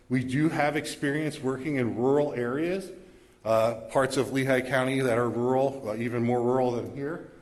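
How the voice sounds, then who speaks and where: A man with a fairly high voice speaks in a room with audible echo. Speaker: EMS agency representative. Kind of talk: presentation at township meeting. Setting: public community meeting. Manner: fast.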